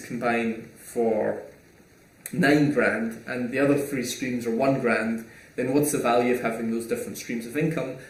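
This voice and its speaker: Audible room echo surrounds the voice. A man is talking at a fairly slow pace. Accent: Scottish. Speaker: online entrepreneur and YouTuber. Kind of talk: casual Q&A monologue. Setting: small home room recording.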